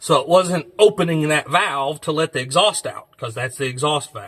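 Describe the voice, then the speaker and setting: At a moderate pace, a man with an American accent speaks in a fairly high pitch. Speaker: mechanic and channel host restoring an old truck. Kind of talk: hands-on tutorial with casual chat. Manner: loud.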